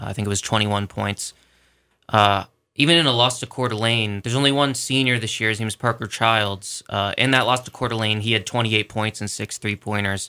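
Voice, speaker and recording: On a very clean recording with a silent background, an unremarkable speaking voice goes at a fairly quick pace, its intonation fairly even. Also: man, medium pitch for a man. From Philadelphia area. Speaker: sports editor. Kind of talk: radio interview.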